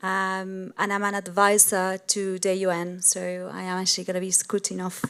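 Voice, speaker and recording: A woman with an Argentine accent, medium in pitch, flat and monotone, at a moderate pace. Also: very clean recording, silent background. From Argentina. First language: Spanish. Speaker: sustainability business leader. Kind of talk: panel discussion. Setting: stage with audience.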